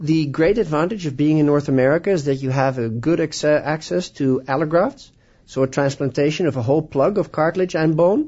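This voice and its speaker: A fairly high, somewhat breathy man's voice with a Dutch accent, enthusiastic in tone, at a fairly quick pace with ordinary pitch variation. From Netherlands. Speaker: orthopedic surgeon. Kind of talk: radio interview.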